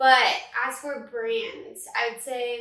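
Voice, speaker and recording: A woman projects a raised voice with a bright, sharp tone. Room echo can be heard. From Northern California. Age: 20s. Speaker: social media manager and content creator. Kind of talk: casual podcast interview.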